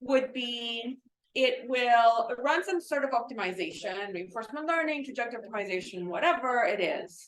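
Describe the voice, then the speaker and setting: Loud, with lively intonation, a woman speaks at a moderate pace in a high pitch. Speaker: robotics professor. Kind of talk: lecture.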